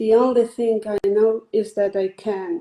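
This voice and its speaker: A woman speaks with a Spanish accent at a very slow pace. Her pitch is fairly high. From northwest Spain. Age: 20s. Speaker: poet. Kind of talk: reading aloud; interview.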